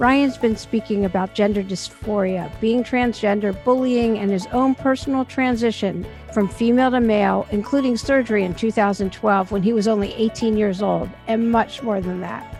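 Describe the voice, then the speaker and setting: Over background music, a woman speaks at a moderate pace and a fairly high pitch, with fairly even intonation and hardly any pauses. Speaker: podcast host. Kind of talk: podcast intro.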